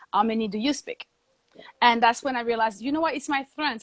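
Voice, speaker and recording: With a French accent, a woman speaks at a fairly high pitch with ordinary pitch variation, in a dry, close sound with no echo. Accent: French accent, always there. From Guadeloupe (French Caribbean). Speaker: TV host and journalist. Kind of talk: interview. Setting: live video webinar.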